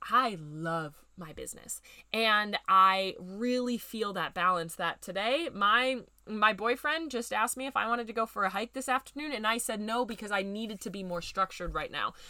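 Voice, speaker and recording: A woman with a fairly high pitch, a bright, sharp, animated and upbeat tone, ordinary pitch variation, big swings in loudness and a moderate pace. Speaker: podcast host and business growth coach. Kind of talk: casual podcast monologue. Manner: animated, upbeat; conversational.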